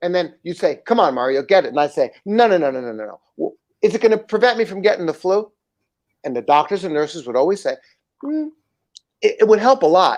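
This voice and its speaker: An animated man with an American accent talks very fast in a high voice, with very wide pitch swings and big swings in loudness. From United States. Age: 60s. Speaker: livestream show host. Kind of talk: livestream commentary.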